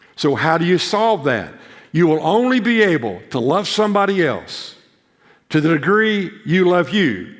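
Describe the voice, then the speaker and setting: Audible room echo clings to the sound here. The man talks at a moderate pace. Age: 80s+. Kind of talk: chapel sermon. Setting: seminary chapel with live audience. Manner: conversational, repeats words often.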